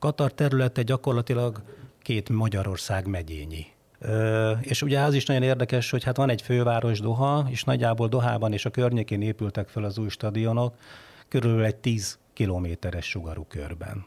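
A man with a somewhat breathy voice talks at a medium pitch with ordinary pitch variation in a very clean recording with a silent background. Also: fairly quick pace. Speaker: foreign affairs journalist. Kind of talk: casual chat.

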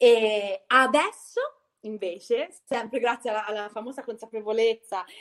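Here is a woman with an ordinary speaking voice, pitched fairly high. She keeps a moderate pace with ordinary pitch variation. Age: 40s. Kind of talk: casual chat.

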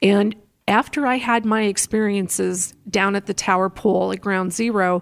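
Recorded very cleanly against a silent background, a woman with an ordinary speaking voice talks at medium pitch with fairly even intonation, the sound dry and close with no echo. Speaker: radio host and former traffic reporter. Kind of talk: interview.

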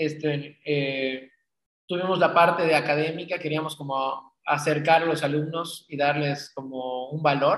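Speaking at a fairly slow pace, the man keeps his intonation flat and monotone. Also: fairly high pitch for a man. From Mexico, Cancún. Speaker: magazine publisher and event organizer. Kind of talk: interview conversation.

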